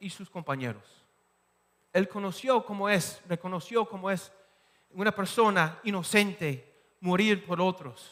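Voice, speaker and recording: Here a man talks at a very slow pace. His pitch is high. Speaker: pastor. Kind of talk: sermon. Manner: halting, with repetitions and fillers.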